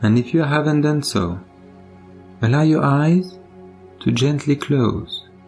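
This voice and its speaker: Over background music, a calm, soothing voice moves at a fairly slow pace with lively intonation and long, frequent pauses. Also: man, fairly high pitch for a man. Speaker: meditation guide. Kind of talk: guided meditation. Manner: calm, slow, soothing.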